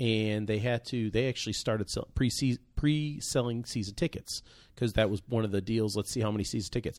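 A man talks in a normal speaking voice with an American accent at a medium pitch. He speaks at a fairly quick pace on a very clean recording with a silent background. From Virginia Beach, Virginia (from teens). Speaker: podcast co-host, mortgage lender. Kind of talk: casual chat.

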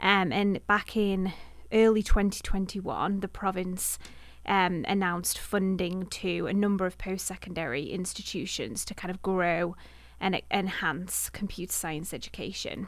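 In a Manchester accent, a woman speaks at a moderate pace and medium pitch with fairly even intonation on a very clean recording with a silent background. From Manchester area, England. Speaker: university communications director. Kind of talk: interview.

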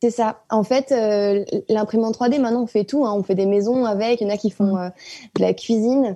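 A woman speaks at a moderate pace with a fairly high pitch. Her tone is dark and mellow, and her intonation stays fairly even. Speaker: artist. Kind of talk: casual chat.

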